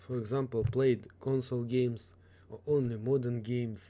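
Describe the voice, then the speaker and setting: A man's medium-pitched voice, dark and mellow in tone, fairly slow and fairly even in intonation. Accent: Russian. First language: Russian. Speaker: gaming tutorial YouTuber. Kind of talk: tutorial. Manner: halting, with fillers.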